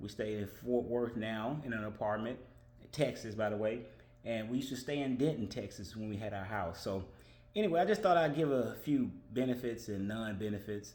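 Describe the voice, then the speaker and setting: In a room with audible echo, a man talks at a fairly quick pace with a medium pitch and ordinary pitch variation. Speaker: vlogger. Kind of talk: casual monologue. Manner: fast.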